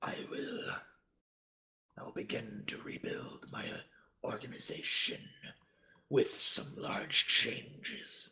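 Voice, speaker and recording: Using a raspy, put-on character voice at a fairly high pitch, a man speaks at a fairly slow pace with long, frequent pauses. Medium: actual play. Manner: solemn, heavy.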